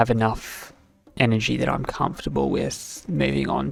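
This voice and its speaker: Speech moves at a moderate pace with music in the background. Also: man. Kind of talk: casual gameplay commentary.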